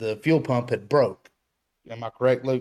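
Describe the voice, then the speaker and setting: A man speaks at a medium pitch and a moderate pace with ordinary pitch variation in an ordinary speaking voice. The recording is very clean, with a silent background. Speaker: off-road builder.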